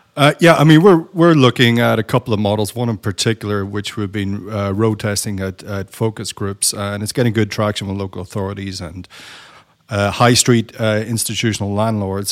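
Here a man uses an ordinary speaking voice at a fairly quick pace. His pitch is fairly low and his intonation fairly even. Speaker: architect. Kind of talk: panel discussion.

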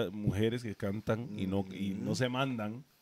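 The recording is very clean, with a silent background. A man with a fairly low pitch speaks at a very slow pace with ordinary pitch variation. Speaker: podcast co-host. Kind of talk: casual chat.

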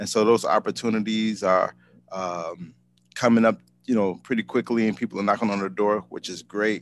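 A man with an American accent, fairly low pitch and monotone, flat intonation, at a moderate pace. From Chicago, Illinois. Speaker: ice cream business owner. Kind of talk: casual interview.

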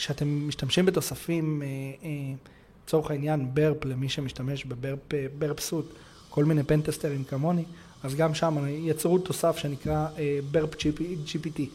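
At a fairly high pitch, a man speaks in a dark, mellow, somewhat breathy tone, monotone and flat, with long, frequent pauses. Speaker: cybersecurity consultant. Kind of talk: interview.

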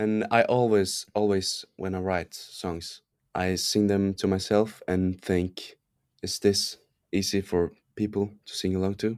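In a very clean recording with a silent background, a man with a Norwegian accent speaks at a fairly slow pace in a monotone, flat intonation. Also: fairly low pitch for a man. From Norway; small island, Norway. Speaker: singer-songwriter and producer. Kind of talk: casual interview chat.

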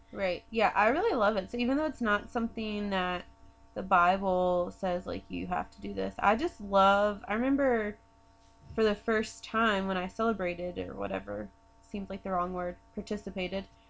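An ordinary speaking voice from a woman with an American accent, medium in pitch with ordinary variation, at a moderate pace with big swings in loudness. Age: 20s. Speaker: podcast co-host. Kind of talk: casual chat.

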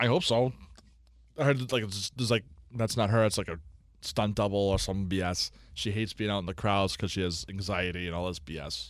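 Someone with an American accent has an unremarkable speaking voice, ordinary pitch variation and a fairly quick pace. The recording is very clean, with a silent background. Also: man, fairly low pitch for a man. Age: 30s. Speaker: sports podcast co-host. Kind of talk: casual chat.

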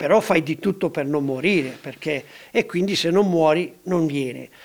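A man's high-pitched voice at a moderate pace. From Ticino, Switzerland. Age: 70s. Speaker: mountaineer. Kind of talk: interview.

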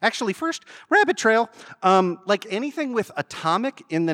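A man speaks at a fairly quick pace in an animated tone with very wide pitch swings, on a very clean recording with a silent background and a dry, close sound with no echo. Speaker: lawyer and podcast host. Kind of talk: public talk with Q&A.

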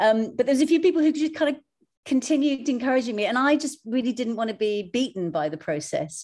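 Talking very fast, a woman uses a high pitch. Her voice swings very widely up and down. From Iraq, Mosul. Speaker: visual artist and curator. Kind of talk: panel discussion.

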